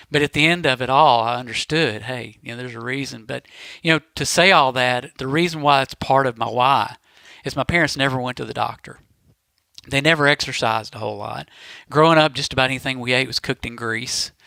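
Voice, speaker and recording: A bright, sharp tone moves at a fairly quick pace with fairly even intonation on a very clean recording with a silent background. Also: man, medium pitch for a man. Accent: Southern US. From Mississippi. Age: 40s. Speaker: podcast guest. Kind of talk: casual chat.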